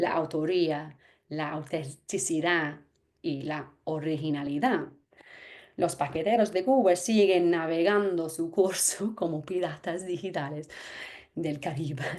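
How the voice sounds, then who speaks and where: With an English accent, a woman speaks in a dark, mellow tone at a fairly low pitch, her ordinary pitch variation set against audible room echo and long, frequent pauses. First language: English (speaking Spanish). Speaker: anthropologist. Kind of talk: lecture.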